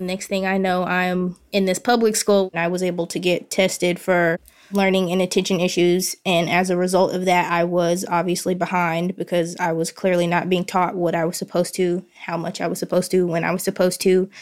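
A woman with a medium pitch speaks at a fairly quick pace with hardly any pauses. Her tone is confident and her intonation monotone and flat. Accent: Southern US. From US South, central Arkansas. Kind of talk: casual interview. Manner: confident, candid.

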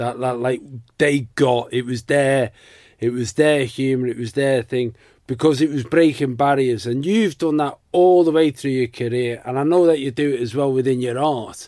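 With a British accent, a man talks at medium pitch and a moderate pace in a dark, mellow tone with ordinary pitch variation, on a very clean recording with a silent background. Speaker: podcast host. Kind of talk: casual chat.

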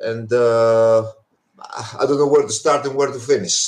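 Speaking at a fairly quick pace with a Greek accent, a man keeps a medium pitch but makes very wide pitch swings. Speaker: anarchist activist. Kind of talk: interview.

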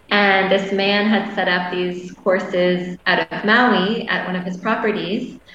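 In a Canadian accent, a woman at medium pitch speaks at a fairly slow pace with monotone, flat intonation. Audible room echo and noticeable background noise surround her. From Canada. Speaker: massage therapist and women's coach. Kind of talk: casual interview chat. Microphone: internet connection delays.

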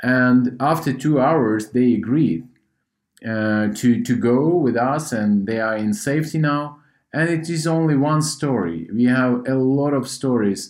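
Speaking with a Ukrainian accent, a man talks at a fairly slow pace and medium pitch. The recording is very clean, with a silent background. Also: ordinary pitch variation. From Ukraine. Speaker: humanitarian organization head. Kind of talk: interview. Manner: halting.

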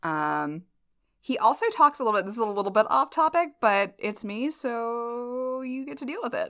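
Very wide pitch swings mark a woman's bright, sharp voice with a slight Southern US accent, delivered at a fairly slow pace on a very clean recording with a silent background. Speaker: podcast host. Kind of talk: casual chat. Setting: in person, sharing one mic.

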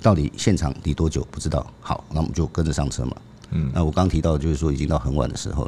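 Over noticeable background noise, a man with a very deep, low voice talks at a very fast pace with ordinary pitch variation. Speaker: veteran crime reporter, co-host. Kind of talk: storytelling in conversation.

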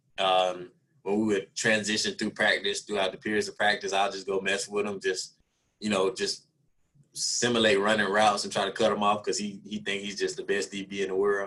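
Bright and sharp in tone, a man talks at a fairly quick pace at a fairly low pitch, his intonation monotone and flat. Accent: Southern US. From Alabama, US South. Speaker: NFL wide receiver. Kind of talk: interview.

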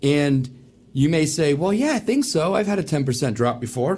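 Lively intonation in a man's somewhat breathy voice. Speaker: wealth advisor. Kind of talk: casual radio chat.

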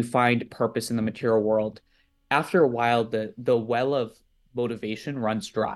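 Here is a man with an ordinary speaking voice and an American accent. He talks at a moderate pace and a medium pitch, with ordinary pitch variation. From US East Coast. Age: 20s. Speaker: nonprofit leader, student movement organizer. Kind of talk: interview.

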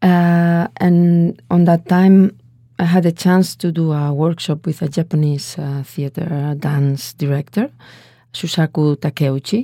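With a Spanish accent, a woman talks fairly slowly in a dark, mellow tone at a fairly low pitch, keeping her intonation fairly even. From Spain, Valencia. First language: Spanish or Catalan. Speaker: dance artist. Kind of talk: interview.

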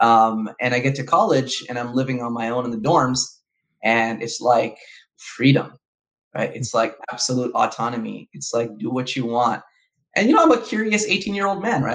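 A man speaks in a Californian accent at a medium pitch. His intonation is lively and his pace moderate. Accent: Californian American English. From Southern California. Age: 30s. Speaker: researcher and imam. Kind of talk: casual interview chat. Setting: video call.

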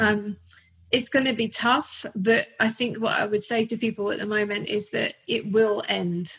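A woman in a North London accent, fairly high-pitched, monotone and flat, at a moderate pace. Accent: North London accent, noticeable. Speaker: portrait photographer. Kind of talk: casual interview chat. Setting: home studio, recorded remotely.

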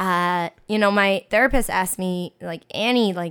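An unremarkable speaking voice from a woman with an American accent, medium in pitch, fairly slow, with fairly even intonation. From US, New York Chinatown. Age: 20s. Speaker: teacher. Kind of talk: casual chat.

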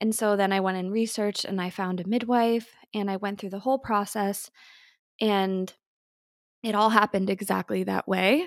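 A woman with an unremarkable speaking voice talks at a moderate pace and medium pitch, with fairly even intonation, in a very clean recording with a silent background. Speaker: podcast co-host, mother. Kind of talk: casual chat. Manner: warm, reflective.

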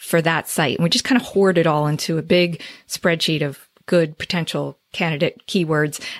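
Someone with a New Jersey accent speaks at a moderate pace with fairly even intonation. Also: woman. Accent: New Jersey American. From northern New Jersey. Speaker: SEO agency owner. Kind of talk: interview.

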